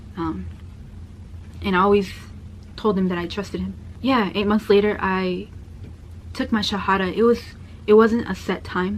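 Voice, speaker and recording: A soft-spoken woman with an American accent, at a moderate pace with long, frequent pauses. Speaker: convert sharing her story. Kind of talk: personal testimony.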